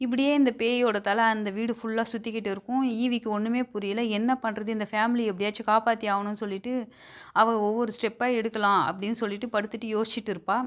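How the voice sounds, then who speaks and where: A woman's fairly high voice holds monotone, flat intonation on a very clean recording with a silent background. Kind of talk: movie recap narration. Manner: casual, conversational.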